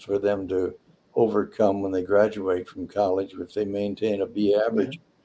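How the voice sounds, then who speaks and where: With an American accent, a man speaks in a fairly low pitch and a dark, mellow tone, keeping his intonation fairly even. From US Midwest, Detroit. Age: 80s+. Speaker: retired airline pilot. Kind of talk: interview. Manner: halting.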